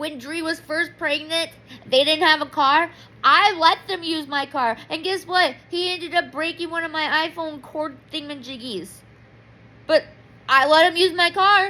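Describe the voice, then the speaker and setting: With a bright, sharp tone, the speaker raises and projects the voice. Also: woman, extremely high pitch for a woman, ordinary pitch variation, moderate pace. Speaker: vlogger. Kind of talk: personal diary vlog. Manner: loud; emotional, rambling.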